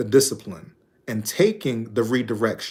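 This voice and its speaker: A man's unremarkable speaking voice at a medium pitch, with lively intonation and a fairly slow pace. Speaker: life coach. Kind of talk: motivational talk.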